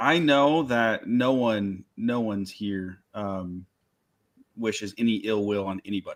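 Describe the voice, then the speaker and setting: A man's fairly low pitch with ordinary pitch variation, a fairly slow pace, and a very clean recording over a silent background. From US Midwest, Michigan. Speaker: maker YouTuber. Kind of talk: casual chat.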